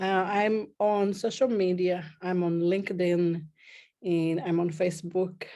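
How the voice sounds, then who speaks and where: A woman with a Brazilian accent speaks fairly slowly at a medium pitch, her tone dark and mellow, her intonation fairly even, and her loudness very even. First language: Portuguese. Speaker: pain therapist. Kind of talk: interview.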